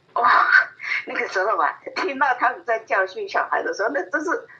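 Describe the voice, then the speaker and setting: A woman's voice with very wide pitch swings, amid noticeable background noise. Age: 80s+. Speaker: grandmother. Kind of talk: interview. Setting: phone call. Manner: lively.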